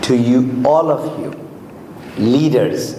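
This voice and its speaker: The man's voice has ordinary pitch variation. Audible room echo and noticeable background noise surround it. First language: Urdu or Hindi. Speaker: motivational speaker. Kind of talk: motivational seminar talk.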